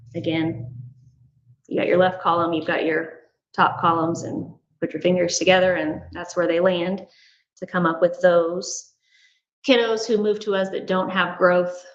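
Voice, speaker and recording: This woman has a normal speaking voice, pitched fairly low. She talks at a fairly slow pace. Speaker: school administrator. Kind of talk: board meeting presentation.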